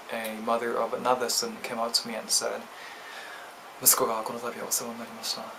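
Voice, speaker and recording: Through audible room echo and noticeable background noise, a man talks at a medium pitch and a fairly quick pace. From Japan. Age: 20s. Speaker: vlogger. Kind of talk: casual explanatory vlog. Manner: hesitant, frequent ums.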